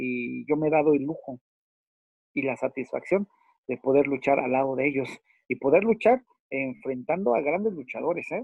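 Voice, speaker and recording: In an unremarkable speaking voice, a man talks at a moderate pace, fairly high in pitch with ordinary pitch variation. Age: 40s. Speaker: professional wrestler. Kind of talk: interview.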